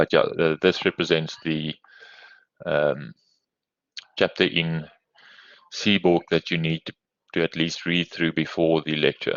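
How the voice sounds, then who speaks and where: A man with a South African accent speaks at a very deep, low pitch in a monotone, flat intonation. His pace is fairly slow, with long, frequent pauses. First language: Afrikaans. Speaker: university lecturer. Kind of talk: lecture. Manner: hesitant, many fillers.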